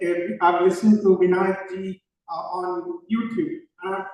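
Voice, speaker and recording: High-pitched man with an Indian accent and ordinary pitch variation. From India (born in Ooty, grew up across India). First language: Konkani. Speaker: panelist, nonprofit executive director. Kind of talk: panel discussion.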